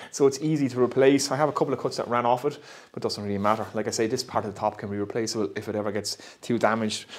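A man speaking very fast, with ordinary pitch variation. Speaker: woodworker vlogger. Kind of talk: casual vlog chat. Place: workshop. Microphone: lapel.

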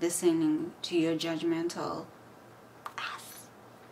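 A voice with lively intonation comes through over light background noise. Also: woman. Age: 30s. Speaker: YouTuber and healthcare worker. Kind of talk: vlog monologue. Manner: animated. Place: home room. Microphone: phone near.

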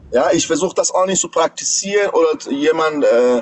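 Over light background noise, a man with a high pitch talks at a moderate pace. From Iran. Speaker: caller, pilot; caller. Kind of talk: casual chat, storytelling. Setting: livestream video call. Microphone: phone near.

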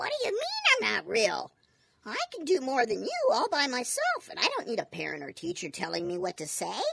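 This is a cartoonish character voice that sounds female. It moves at a fairly quick pace. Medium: puppet.

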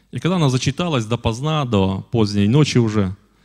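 Ordinary pitch variation marks a man's moderate-paced speech over a quiet background. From Belarus, Polesie region, village; Belarus. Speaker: guest. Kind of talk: church address with testimony. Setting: church. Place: church. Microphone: handheld.

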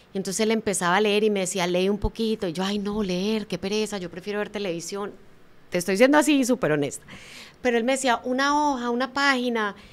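Talking at a very fast pace, a woman with a medium-pitched voice shows ordinary pitch variation. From Colombia. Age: 50s. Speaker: motivational speaker and author. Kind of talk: interview.

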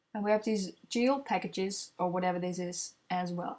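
At a moderate pace, a woman talks with a non-native accent. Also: very clean recording, silent background. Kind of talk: product unboxing voiceover.

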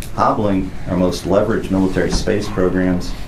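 The speech moves at a moderate pace with fairly even intonation. Background noise is noticeable. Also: man. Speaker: panel moderator. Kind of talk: opening remarks. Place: meeting room. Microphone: camera far.

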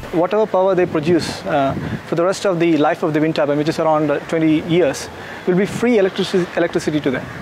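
Over noticeable background noise, a man speaks very fast at a high pitch with ordinary pitch variation. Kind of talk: interview answer. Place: open country.

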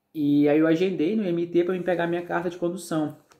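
Nothing can be heard behind the voice. A man delivers his words at a moderate speed. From Brazil. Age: 30s. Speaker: YouTuber, immigrant vlogger. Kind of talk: vlog monologue. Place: home room. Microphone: phone near.

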